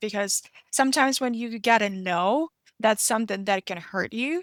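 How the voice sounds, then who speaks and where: A woman with a Russian accent speaks at a moderate pace and fairly high pitch, with ordinary pitch variation. The sound is dry and close with no echo, on a very clean recording over a silent background. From Russian-speaking country. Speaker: podcast host. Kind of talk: interview conversation. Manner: halting, with many fillers and restarts.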